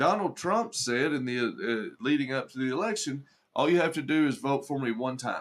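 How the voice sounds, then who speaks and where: A man speaks with a Southern accent. His pitch sits in the medium range. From Arkansas. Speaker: livestreamer and political commentator. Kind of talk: live stream chat with commenters. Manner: conversational, with frequent repetitions and fillers.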